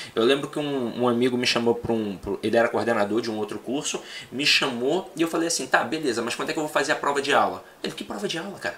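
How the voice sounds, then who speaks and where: Very fast speech from a man at medium pitch, with ordinary pitch variation and noticeable background noise. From Rio de Janeiro, Brazil. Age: 30s. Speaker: teacher. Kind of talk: casual chat.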